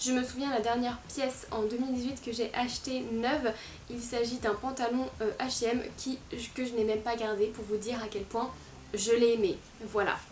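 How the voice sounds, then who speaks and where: Over noticeable background noise and audible room echo, a woman speaks at a moderate pace in a fairly high, monotone, flat voice. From France, Lyon region. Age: 20s. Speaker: fashion YouTuber and blogger. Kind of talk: casual vlog talk to camera. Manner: hesitant, many fillers.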